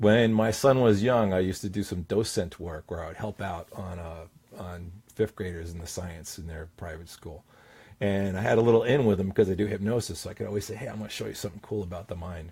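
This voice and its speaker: A man with a fairly low, somewhat breathy voice and ordinary pitch variation speaks with big swings in loudness on a very clean recording with a silent background. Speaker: confidence coach and hypnotist. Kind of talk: talking-head tip video. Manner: commanding downward inflection.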